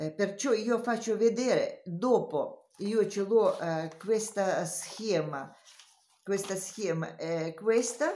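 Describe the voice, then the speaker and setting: Speaking very slowly with a non-native accent, a woman uses a medium pitch and ordinary pitch variation while audible room echo surrounds her. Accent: foreign. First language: not Italian (speaking Italian). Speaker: knitting teacher. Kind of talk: tutorial. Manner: halting.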